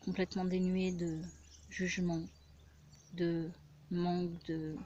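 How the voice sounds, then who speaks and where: Soft-spoken and very slow, a woman talks at a fairly low pitch in a monotone, flat intonation. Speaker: spiritual healer. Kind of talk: casual personal vlog monologue. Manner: hesitant, many fillers.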